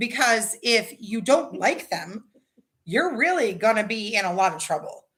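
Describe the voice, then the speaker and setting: A woman's fairly high voice with a Californian accent, fairly slow in pace, with very wide pitch swings. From Southern California. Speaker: livestream host. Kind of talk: casual chat.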